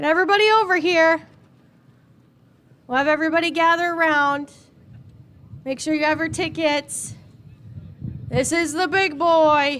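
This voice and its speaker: Extremely high in pitch, this woman's voice has a bright, sharp tone and fairly even intonation. She keeps a moderate pace with long, frequent pauses. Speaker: event organizer running a raffle. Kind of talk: announcing raffle winners to a crowd. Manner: loud.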